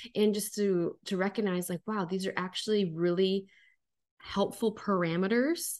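A woman with an American accent uses a normal speaking voice at a medium pitch, moderate pace and ordinary pitch variation against a quiet background. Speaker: podcast co-host. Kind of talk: casual chat.

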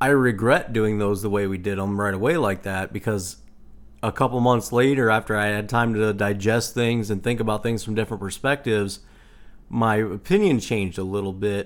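A man with a normal speaking voice talks at a fairly quick pace, with fairly low pitch and fairly even intonation, in a very clean recording with a silent background. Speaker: podcast co-host. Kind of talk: casual chat.

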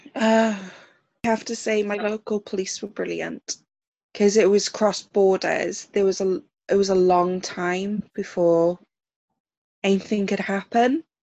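A woman speaks with a South Welsh accent, a medium pitch and a dark, mellow tone, at a fairly slow pace with long, frequent pauses. Her intonation is fairly even, and the sound is dry and close with no echo. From South Wales. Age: 20s. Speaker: survivor sharing personal story. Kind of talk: testimony.

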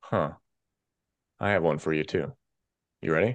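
A man's very deep, low voice with vocal fry, animated in tone and lively in intonation, at a fairly quick pace against a quiet background. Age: 40s. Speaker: boxing podcast co-host and producer. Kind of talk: casual chat. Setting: remote, not in studio.

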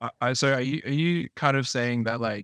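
With an Australian accent, a man speaks at a moderate pace with ordinary pitch variation, and the sound is dry and close with no echo. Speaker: podcast co-host. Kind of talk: podcast interview.

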